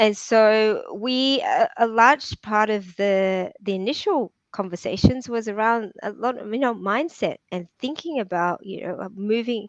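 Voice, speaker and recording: A woman with a fairly high pitch has an unremarkable speaking voice and ordinary pitch variation. She talks with hardly any pauses, and her loudness swings widely. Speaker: property entrepreneur and podcast host. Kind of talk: interview. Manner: repetitive, many fillers and restarts.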